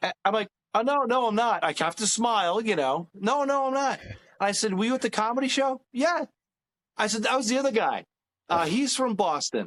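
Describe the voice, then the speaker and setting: With a New York accent, a man talks at a moderate pace in an extremely high pitch, his loudness very even and the sound dry and close with no echo. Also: lively intonation. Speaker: comedian. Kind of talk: casual chat.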